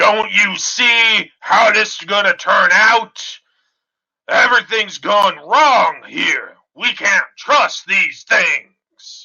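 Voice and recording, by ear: A man puts on a character voice with an extremely high pitch. He speaks at a very slow pace with very even loudness.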